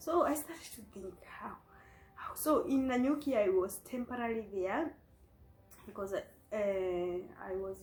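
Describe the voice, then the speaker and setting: Her dark, mellow tone sits at a high pitch as a woman speaks at a moderate pace with lively intonation. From Kenya. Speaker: vlogger sharing life story. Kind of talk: personal testimony. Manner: code-switching English and Swahili.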